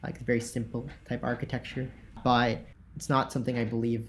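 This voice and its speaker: Flat, monotone intonation and vocal fry mark a man's medium-pitched voice as he talks at a fairly quick pace. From Tennessee. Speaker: tech startup co-founder. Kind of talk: casual interview.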